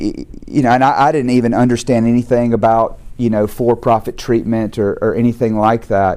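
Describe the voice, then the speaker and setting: In a Southern US accent, a man speaks at a moderate pace. His voice sits at a medium pitch with a dark, mellow tone. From US South. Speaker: recovery program founder and speaker. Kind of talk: testimony. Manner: halting, frequent repeated words.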